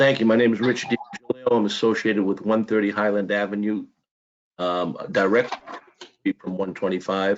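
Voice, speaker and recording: Fairly quick in pace, a man with a fairly low voice talks with fairly even intonation. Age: 60s. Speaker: public commenter, contractor and church deacon. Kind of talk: public testimony. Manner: halting with repetitions.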